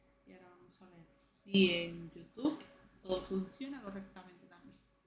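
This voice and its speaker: A woman with a medium pitch speaks with lively intonation. Noticeable background noise can be heard. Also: long, frequent pauses, big swings in loudness. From Andalusia, Spain. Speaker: streamer. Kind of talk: casual live-stream gaming commentary. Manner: unfiltered, swears a lot.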